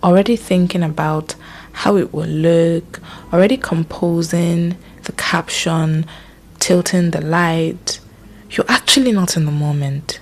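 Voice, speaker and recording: Soft-spoken and calm in tone, the speaker moves at a fairly slow pace over noticeable background noise. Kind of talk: reflective mental health narration. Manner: soft-spoken, calm.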